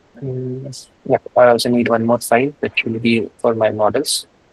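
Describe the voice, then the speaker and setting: Somewhat breathy, medium-pitched male voice with monotone, flat intonation and a dry, close sound with no echo. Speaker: programming instructor. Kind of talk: live coding tutorial. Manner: halting, many fillers; fast.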